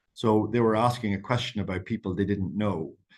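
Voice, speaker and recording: A man with an Irish accent at a fairly quick pace, with ordinary pitch variation over a quiet background. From Ireland. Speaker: campaign strategist. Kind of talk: webinar talk. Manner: fast.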